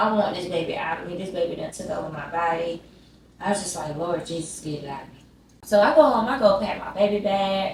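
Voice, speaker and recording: With a Southern US accent, a woman speaks in an animated tone at a fairly quick pace with ordinary pitch variation over noticeable background noise. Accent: Southern American. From Georgia, USA. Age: 20s. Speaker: YouTuber. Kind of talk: casual storytime talk to camera. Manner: animated, chatty.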